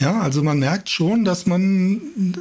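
With lively intonation, a man speaks in a high-pitched voice. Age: 50s. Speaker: amateur runner. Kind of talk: casual chat.

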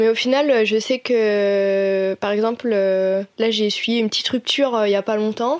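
Fairly slow and fairly high in pitch, a woman talks in an unremarkable speaking voice. Her intonation stays fairly even. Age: 20s. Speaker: design student. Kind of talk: personal testimony.

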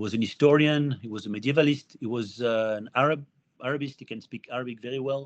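Talking at a very fast pace, a man with a French accent keeps a medium pitch and fairly even intonation while his loudness swings widely. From France. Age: 50s. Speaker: historian. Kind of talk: interview. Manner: halting.

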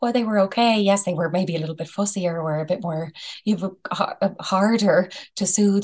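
A woman speaks at a medium pitch with an Irish accent. Her pace is fairly quick and her intonation fairly even. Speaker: psychologist. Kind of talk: interview. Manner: calm.

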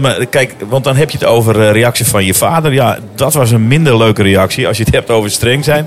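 A man talks at a middle pitch, varying it in an ordinary way, while noticeable noise fills the background. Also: hardly any pauses. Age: 50s. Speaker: primary school teacher. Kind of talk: casual chat. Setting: restaurant / café.

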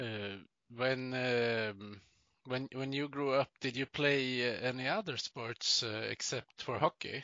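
Very slow speech comes from a man with a Swedish accent. He holds a medium pitch with fairly even intonation. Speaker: podcast host. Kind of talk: casual interview.

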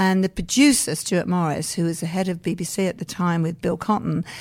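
A woman with an English accent, fairly low in pitch, at a moderate pace. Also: very clean recording, silent background. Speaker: pantomime producer and performer. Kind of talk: interview.

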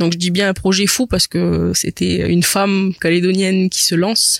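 A woman talks fairly slowly, and the sound is dry and close with no echo. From New Caledonia, Païta. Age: 20s. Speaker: business owner. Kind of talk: interview. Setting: cinema hall. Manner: halting, many repetitions.

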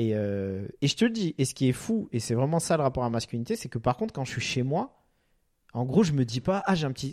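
Animated in tone, a man talks at a fairly quick pace from a medium pitch with very wide pitch swings, on a very clean recording with a silent background. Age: 30s. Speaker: podcast host. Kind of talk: casual chat.

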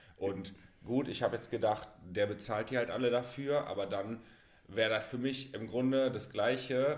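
A man's fairly even intonation and average pace come through clear background noise. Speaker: podcast co-host. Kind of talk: casual chat. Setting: shared single microphone. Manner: quiet, soft-spoken.

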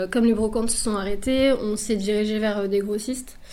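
The woman's voice sits at a fairly high pitch. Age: 30s. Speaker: clothing brand founder, pattern maker. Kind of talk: radio interview. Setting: radio studio.

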